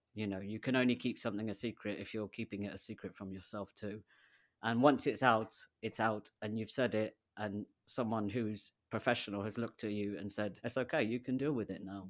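With a British accent, a man talks at a fairly quick pace in a fairly low pitch and fairly even intonation, on a very clean recording with a silent background. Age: 40s. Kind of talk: interview conversation. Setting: in-person studio recording, sharing a microphone.

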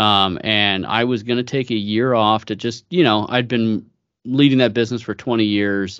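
In an American accent and an ordinary speaking voice, a man talks at a moderate pace and medium pitch with fairly even intonation against a quiet background. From US West Coast (San Francisco Bay Area). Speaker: business executive. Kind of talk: interview conversation.

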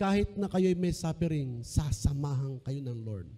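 The man takes a fairly slow pace, with music going on behind his voice. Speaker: pastor. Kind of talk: sermon. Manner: animated.

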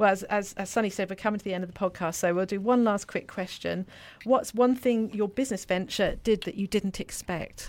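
A woman speaks with an English accent. She keeps a fairly quick pace and fairly even intonation. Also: medium pitch for a woman, very clean recording, silent background. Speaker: podcast co-host. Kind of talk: interview.

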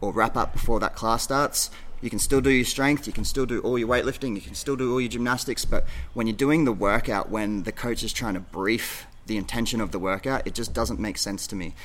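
Talking at a fairly quick pace, a man with an Australian accent uses a medium pitch and ordinary pitch variation. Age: 40s. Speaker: gym coach. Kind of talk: casual chat.

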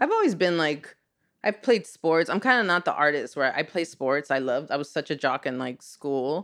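A woman with an American accent and a very deep, low pitch, against a quiet background. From Los Angeles, Echo Park. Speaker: artist and teacher. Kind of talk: casual interview. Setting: in host's home.

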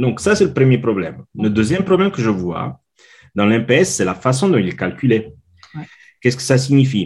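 With an Italian accent and vocal fry, a man speaks at a medium pitch and a moderate pace, his pitch swinging very widely between long, frequent pauses. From Italy. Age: 40s. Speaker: customer experience consultant. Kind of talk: interview. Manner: halting.

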